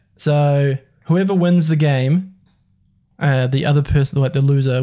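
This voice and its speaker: A fairly high-pitched male voice, somewhat breathy, with a dark, mellow tone and fairly even intonation. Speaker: podcast host. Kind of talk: casual chat.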